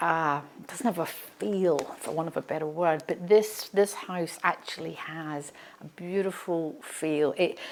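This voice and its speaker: In an Australian accent, a woman talks at a moderate pace. Her pitch varies in an ordinary way. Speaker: real estate agent. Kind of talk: property tour presentation. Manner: animated.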